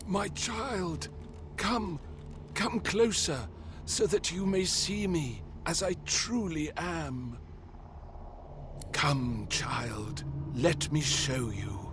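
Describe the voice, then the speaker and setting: Over loud background noise, a man in a put-on character voice speaks at a very slow pace with long, frequent pauses. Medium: video game.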